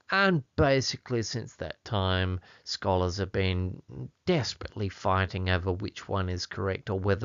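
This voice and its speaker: Fairly low in pitch, a man speaks with an Australian accent. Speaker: Bible language teacher. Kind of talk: tutorial. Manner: casual, chatty.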